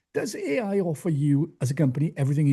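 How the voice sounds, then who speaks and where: A man speaks very fast in a fairly high voice, somewhat breathy. His tone is dark and mellow against a quiet background. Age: 60s. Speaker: podcast host. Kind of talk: podcast interview.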